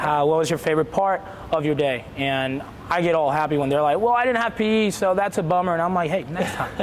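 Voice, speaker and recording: In an energetic tone, a man with a high pitch talks at a fairly quick pace with ordinary pitch variation, amid noticeable background noise and audible room echo. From Puerto Rico. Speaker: elementary school PE teacher. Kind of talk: interview. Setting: school gymnasium.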